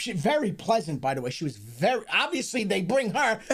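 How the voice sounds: Background noise is noticeable here. The speaking moves at a moderate pace.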